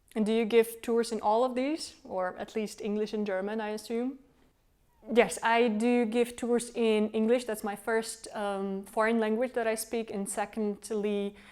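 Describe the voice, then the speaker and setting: A woman with a Czech accent, fairly high pitch, flat monotone intonation and a fairly slow pace. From Czech Republic, Prague. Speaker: tour guide and company founder. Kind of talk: self-interview.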